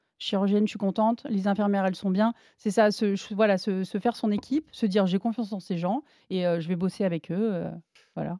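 A woman with a dark, mellow tone talks at a fairly quick pace, her medium pitch held in fairly even intonation, in a dry, close sound with no echo. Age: 40s. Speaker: sports journalist and runner. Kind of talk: testimony.

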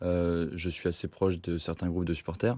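Little noise can be heard behind the speaker. The delivery proceeds at a moderate speed. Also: man. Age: 30s. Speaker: football supporter. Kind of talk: casual sports discussion.

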